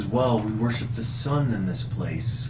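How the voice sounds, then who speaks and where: Against loud background noise, a man performs a put-on character voice at a moderate pace. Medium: actual play. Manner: fawning, grandiose.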